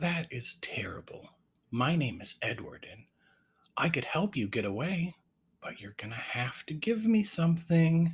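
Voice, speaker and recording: A man speaks at a moderate pace in a put-on character voice pitched high for a man. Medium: read story.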